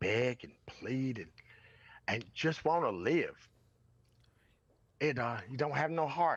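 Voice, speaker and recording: Speaking very slowly with long, frequent pauses, a man with a Southern US accent keeps his intonation lively. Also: medium pitch for a man. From US South, rural North Carolina. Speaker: podcast guest. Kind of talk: impassioned interview talk. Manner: animated, emphatic.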